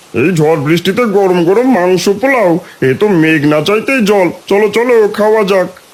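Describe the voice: A cartoonish character voice with lively intonation, a moderate pace and very even loudness. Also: man, high pitch for a man.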